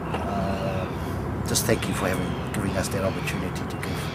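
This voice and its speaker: Against loud background noise, a man talks at a moderate pace. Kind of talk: casual spoken address. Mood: respectful, warm. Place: waterside. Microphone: phone near.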